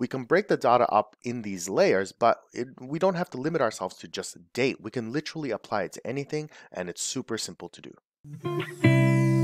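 A man's voice with big swings in loudness and hardly any pauses, over faint music in the background. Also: moderate pace, dry sound with no echo. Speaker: software instructor. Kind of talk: tutorial. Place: home room.

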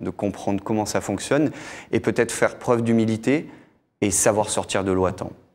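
This man has a plain, everyday voice. His pitch sits fairly low and his intonation stays fairly even. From Monaco. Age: 40s. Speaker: freediver; guest. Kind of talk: TV interview. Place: studio. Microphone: lapel.

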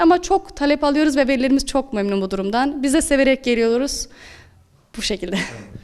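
A woman's high-pitched voice at a very fast pace. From Aksaray, central Turkey. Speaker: Quran teacher. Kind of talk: interview.

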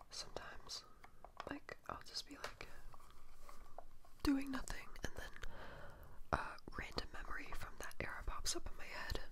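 A soft-spoken woman whispers at a moderate speed, leaving long, frequent pauses, with noticeable background noise behind her. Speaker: vlogger. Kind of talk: casual vlog chat. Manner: soft close-mic ASMR whisper. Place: home room. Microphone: studio mic.

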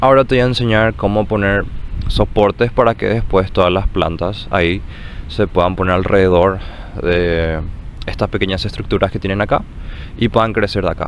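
Fairly low pitch from a man at a moderate pace, noticeable background noise underneath. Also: ordinary pitch variation. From Paraguay. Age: 20s. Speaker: university student, grandson. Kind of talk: personal recollection.

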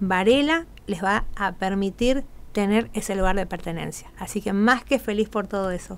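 A woman at a moderate pace, with ordinary pitch variation. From Argentina, Corrientes; Argentina. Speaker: carnival troupe leader; radio guest. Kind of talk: radio interview. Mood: happy, emotional. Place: studio. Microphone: studio mic.

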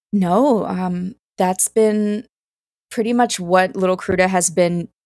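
A woman in an American accent speaks at a very slow pace with a medium pitch and fairly even intonation. The recording is very clean with a silent background and a dry, close sound with no echo. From US South, South Carolina. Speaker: cellist and orchestra music director. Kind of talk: interview conversation.

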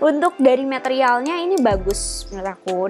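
The voice makes very wide pitch swings while music plays clearly in the background. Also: woman. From Bandung, Indonesia. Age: 20s. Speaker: fashion vlogger. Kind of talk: casual talk to camera. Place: home room. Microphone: lapel.

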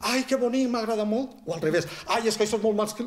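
A man with a southern Valencian accent speaks at a very fast pace. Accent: southern Valencian Catalan. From Vall d'Albaida, Valencia (L'Olleria). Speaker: writer and poet; poet. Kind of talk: casual interview. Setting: small bookshop set up as studio. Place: studio.

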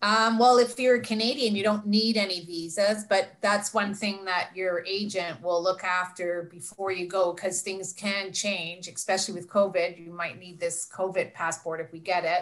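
A plain, everyday voice speaks at a moderate pace with hardly any pauses. Intonation stays fairly even while loudness swings widely. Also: woman, medium pitch for a woman. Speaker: travel agent. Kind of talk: Q&A answers. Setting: video call.

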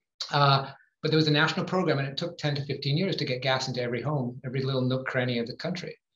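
With audible room echo, a man speaks at a very fast pace with fairly even intonation. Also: fairly high pitch for a man. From Northwest England. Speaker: climate policy advocate; guest. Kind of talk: panel Q&A; conference presentation. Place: home room. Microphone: video call.

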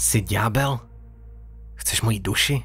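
A moderate pace carries the speech. The voice has a somewhat breathy quality. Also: man.

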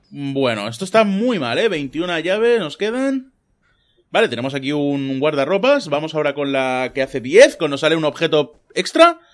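The very clean recording, with a silent background, carries lively intonation at a moderate pace. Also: man, fairly high pitch for a man. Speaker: gaming youtuber. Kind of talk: gameplay commentary. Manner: animated.

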